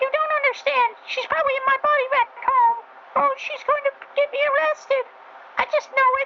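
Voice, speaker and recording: A female-sounding put-on character voice with an extremely high pitch speaks at a moderate pace over clear background noise. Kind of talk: dramatic story reading. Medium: read story. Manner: excitable, panicky.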